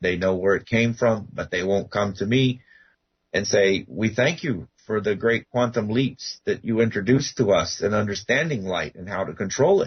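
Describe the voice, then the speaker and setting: Somewhat breathy, a man speaks at a moderate pace. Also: fairly low pitch for a man, ordinary pitch variation. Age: 60s. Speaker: guest researcher on ancient pyramids. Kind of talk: radio interview. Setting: radio show.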